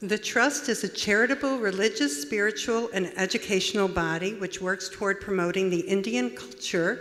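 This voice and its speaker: At a moderate pace and with ordinary pitch variation, this is an ordinary speaking voice with an American accent. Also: woman. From USA. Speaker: conference host. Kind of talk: speaker introduction.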